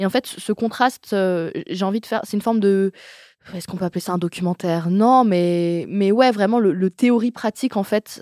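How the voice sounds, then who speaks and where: At a moderate pace, a woman speaks with a dark, mellow tone and ordinary pitch variation, the sound dry and close with no echo on a very clean recording with a silent background. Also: medium pitch for a woman. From Le Mans, France. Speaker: podcaster. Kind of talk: casual chat.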